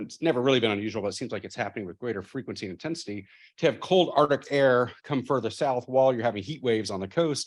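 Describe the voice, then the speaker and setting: A man with an American accent talks at a very fast pace with hardly any pauses, his pitch medium and its variation ordinary. His loudness swings widely against a quiet background. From Texas, Austin. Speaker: professor. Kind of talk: keynote speech.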